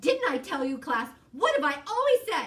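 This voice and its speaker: A woman puts on a character voice, delivering it at a moderate pace. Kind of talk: villain in children's story reading. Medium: read story. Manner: preachy, self-satisfied.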